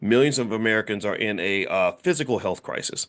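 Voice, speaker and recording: A man speaks at a very fast pace with a fairly low pitch. The background is quiet. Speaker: finance educator. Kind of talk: casual lecture. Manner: fast when excited; animated.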